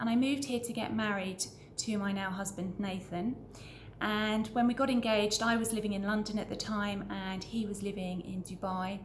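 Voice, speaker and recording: In a British accent, a woman speaks at a moderate pace with a medium pitch and fairly even intonation. The audio carries audible room echo and noticeable background noise. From Britain. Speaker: business owner and vlogger. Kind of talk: casual introductory vlog. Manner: conversational, somewhat hesitant with repetitions.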